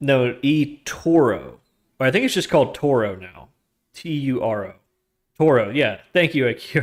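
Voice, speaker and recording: Talking at a fairly slow pace with long, frequent pauses, a man speaks with an American accent. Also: medium pitch for a man, lively intonation. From US South, Georgia. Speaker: streamer and algorithmic trader. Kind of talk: casual live stream chat. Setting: live stream. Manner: halting, self-correcting.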